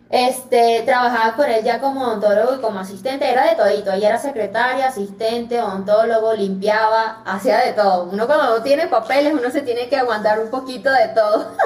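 Over noticeable background noise, a woman speaks in a fairly high pitch with ordinary pitch variation. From Venezuela. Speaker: dentist. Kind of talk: interview conversation.

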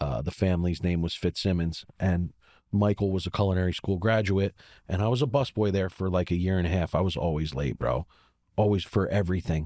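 At a fairly quick pace, a man talks with a very deep, low pitch in a dry, close sound with no echo. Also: ordinary pitch variation, very clean recording, silent background. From Baltimore, Maryland. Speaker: chef. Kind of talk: casual chat.

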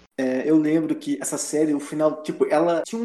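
Lively intonation marks this man's fairly quick delivery. Noticeable background noise runs underneath. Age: 20s. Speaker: website writer. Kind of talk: casual chat.

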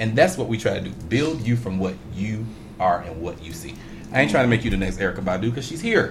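Over music in the background, a man with an American accent talks at a very fast pace in a fairly low voice. His intonation is lively and his loudness swings widely. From Chicago. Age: 30s. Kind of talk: casual chat. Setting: studio.

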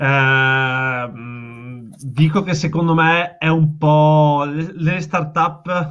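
A man is speaking. He has a Veneto accent. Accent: Veneto Italian. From Veneto, Italy. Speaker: startup founder. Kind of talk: casual interview chat.

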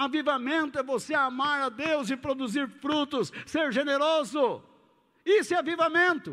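Against a silent background in a very clean recording, a man projects a raised voice at an extremely high pitch, his tone bright and sharp, his pace fairly slow and his pitch variation ordinary. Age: 60s. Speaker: pastor. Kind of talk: sermon.

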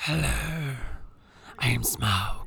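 This put-on character voice is raspy and low in pitch. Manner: bad, jokey impression.

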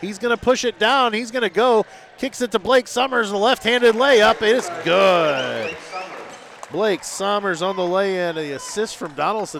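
A man talks in a high pitch with lively intonation. Noticeable background noise runs behind him. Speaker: radio play-by-play announcer. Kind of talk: live sports commentary, rapid-fire play-by-play calling each pass, drive and shot. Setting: high school gym, radio broadcast.

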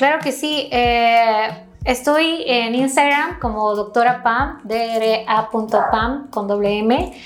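A woman's fairly high voice at a very slow pace, hardly any pauses, ordinary pitch variation, with noticeable background noise and audible room echo. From Ecuador, Quito. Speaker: aesthetic medicine doctor. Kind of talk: interview.

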